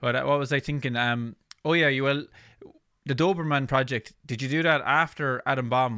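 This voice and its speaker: The recording is dry and close, with no echo. A man with a plain, everyday voice speaks at a moderate pace with fairly even intonation. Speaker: podcast host and bass player. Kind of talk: casual interview.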